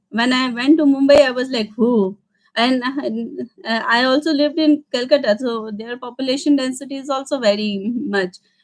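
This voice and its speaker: A woman with a high pitch and an Indian accent speaks at a moderate pace with ordinary pitch variation. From India, Madhya Pradesh. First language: Hindi. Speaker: vlogger. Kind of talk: casual Q&A livestream. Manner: halting, many fillers.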